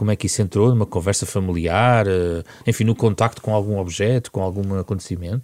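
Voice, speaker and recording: This man talks at a fairly quick pace in a normal speaking voice, fairly low in pitch with fairly even intonation, and the sound is dry and close with no echo. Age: 40s. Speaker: radio host. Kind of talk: radio interview.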